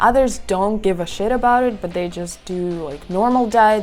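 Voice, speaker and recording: Music plays in the background as a woman talks at a fairly quick pace, her medium pitch showing ordinary variation. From Siberia, Russia. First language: Russian. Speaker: vlogger. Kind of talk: casual vlog talk.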